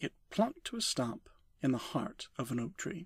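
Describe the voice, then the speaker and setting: A man's voice in a gentle, calm tone. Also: very clean recording, silent background. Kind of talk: bedtime story reading for sleep, ASMR. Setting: binaural recording with page-turning sounds. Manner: gentle, calm, soft-spoken.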